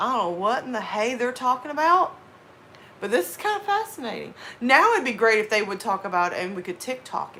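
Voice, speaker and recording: A woman with an American accent and a fairly high pitch uses very wide pitch swings and big swings in loudness over noticeable background noise. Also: fairly quick pace. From US South. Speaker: horror story narrator and live streamer. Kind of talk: casual chat.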